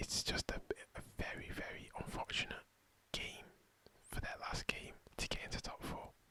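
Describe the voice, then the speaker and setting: A man whispers at a moderate pace. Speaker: football commentator / ASMR content creator. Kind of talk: football match preview, ASMR style. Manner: whispered, soft-spoken.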